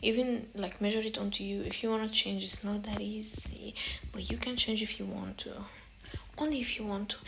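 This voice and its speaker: Over noticeable background noise, a woman with an Arabic accent speaks at a fairly high pitch. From Egypt. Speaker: self-help vlogger. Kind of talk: casual advice monologue. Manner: halting, repetitive.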